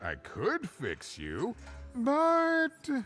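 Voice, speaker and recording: Someone performs a put-on character voice. Clear music sounds in the background. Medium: video game. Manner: chatty, self-deprecating, jokey.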